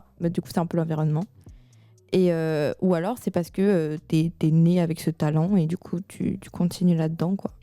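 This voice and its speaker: Against music in the background, the speech comes at a moderate pace in a monotone, flat intonation, with a dry, close sound and no echo. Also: woman, fairly low pitch for a woman. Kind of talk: casual discussion.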